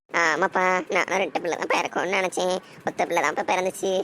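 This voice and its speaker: A cartoonish character voice sits at a middle pitch and moves at a moderate pace. Clear background noise runs behind it. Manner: sly, quick to deny.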